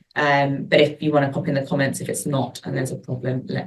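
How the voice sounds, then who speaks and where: A woman talks at a fairly quick pace. Her very deep, low voice has vocal fry. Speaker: lawyer. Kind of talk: webinar presentation. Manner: loud.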